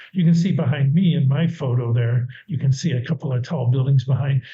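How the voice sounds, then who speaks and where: A man with an American accent talks at a moderate pace, his voice somewhat breathy and his pitch varying in an ordinary way. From United States. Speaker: university department head. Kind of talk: presentation. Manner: casual, with self-corrections.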